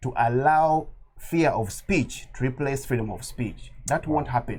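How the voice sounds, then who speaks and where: Somewhat breathy, this voice belongs to a man. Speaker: political activist. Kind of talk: interview. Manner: impassioned.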